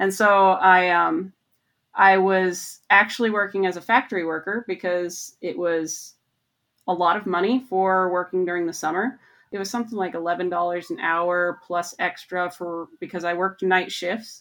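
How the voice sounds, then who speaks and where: A woman in a plain, everyday voice, with an American accent, speaks at a medium pitch and a fairly slow pace with fairly even intonation, on a very clean recording with a silent background. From Montana, US. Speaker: research mechanical engineer. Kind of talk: interview.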